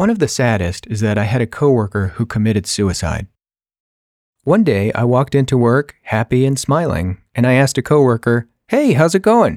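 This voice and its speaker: A man with an American accent speaks in an ordinary speaking voice at medium pitch and a moderate pace, with lively intonation and very even loudness. The sound is dry and close with no echo, on a very clean recording with a silent background. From California, US. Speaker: podcaster. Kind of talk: personal storytelling monologue.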